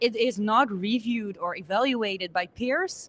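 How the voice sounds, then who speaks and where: The speech comes at a fairly slow pace with ordinary pitch variation in a very clean recording with a silent background. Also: woman. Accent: Dutch. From Netherlands. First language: Dutch. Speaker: conference speaker. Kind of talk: interview. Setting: conference.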